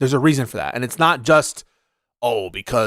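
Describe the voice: Over a quiet background, plain reading aloud with ordinary pitch variation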